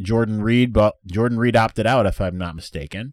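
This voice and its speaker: An ordinary speaking voice from a man with fairly low pitch, moderate pace and ordinary pitch variation, dry and close with no echo, in a very clean recording with a silent background. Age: 30s. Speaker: sports podcast host. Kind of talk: casual mailbag chat.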